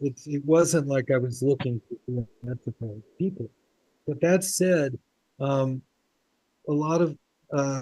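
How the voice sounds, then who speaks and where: A man's fairly high voice in a dark, mellow tone with ordinary pitch variation, very slow pace and long, frequent pauses, in a dry, close sound with no echo. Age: 70s. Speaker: filmmaker. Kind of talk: Q&A after film screening.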